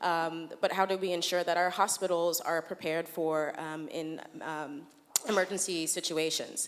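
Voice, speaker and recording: A woman with a slight American accent, fairly low-pitched, moderately paced, with fairly even intonation. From United States. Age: young. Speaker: urban planning researcher. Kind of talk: conference talk.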